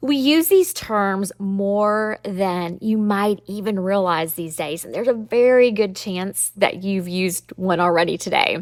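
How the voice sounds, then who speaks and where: A woman with a Southern US accent and an upbeat tone, at a medium pitch and a fairly slow pace with ordinary pitch variation, on a very clean recording with a silent background. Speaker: podcast host, trademark lawyer. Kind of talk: podcast explainer monologue. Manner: conversational, upbeat.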